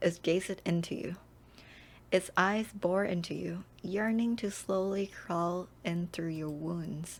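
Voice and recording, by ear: Her pitch fairly low, a woman speaks at a slow pace with fairly even intonation.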